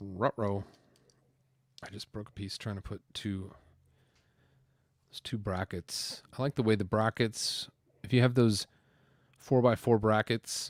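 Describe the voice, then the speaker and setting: In a very clean, dry, close recording with a silent background and no echo, a man with a fairly low pitch speaks at a fairly slow pace with fairly even intonation, big swings in loudness and long, frequent pauses. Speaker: LEGO building livestream host. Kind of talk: casual livestream chat while building.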